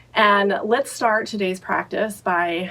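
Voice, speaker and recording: A woman is speaking. Her pace is very slow. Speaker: meditation guide. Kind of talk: guided meditation. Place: home room.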